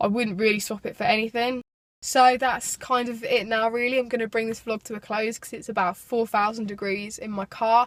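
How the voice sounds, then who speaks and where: A woman with a British accent speaks at a fairly quick pace in a monotone, flat intonation. The sound is dry and close with no echo, on a very clean recording with a silent background. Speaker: vlogger, video production business owner. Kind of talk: vlog. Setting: in a car.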